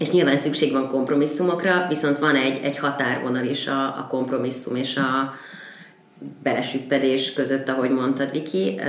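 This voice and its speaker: A woman speaks at a moderate pace in a very deep, low pitch with fairly even intonation. Audible room echo and noticeable background noise surround her voice. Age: 20s. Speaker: podcast guest. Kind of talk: casual chat. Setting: studio.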